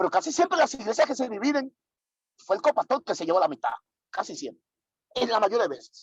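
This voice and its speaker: The speech runs at a very fast pace. Long pauses break it up often. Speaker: pastor teaching church leaders. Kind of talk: online leadership workshop lecture.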